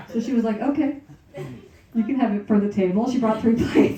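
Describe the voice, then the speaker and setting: A woman's fairly high pitch and ordinary pitch variation at a very fast pace, with noticeable background noise and audible room echo. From Northern Ireland, then moved to the USA as a child. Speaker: comedian. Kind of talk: stand-up. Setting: stage with audience.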